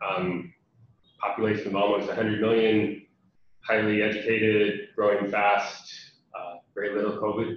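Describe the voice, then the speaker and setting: A man's fairly low, somewhat breathy voice with an American accent, at a fairly slow pace amid audible room echo. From USA. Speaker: international development program representative. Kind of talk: webinar presentation. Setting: online webinar. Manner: many fillers (um, uh).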